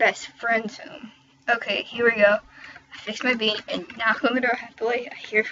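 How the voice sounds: Fairly even intonation runs through this natural reading voice.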